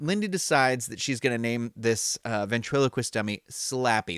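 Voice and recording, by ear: Natural-voiced reading aloud with lively intonation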